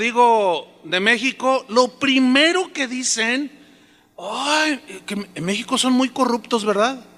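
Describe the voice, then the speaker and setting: A man speaks in a raised, projected voice at an extremely high pitch. His pace is very slow, with noticeable background noise behind him. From Mexico. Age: 60s. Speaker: pastor. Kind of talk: sermon. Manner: conversational, with repetitions.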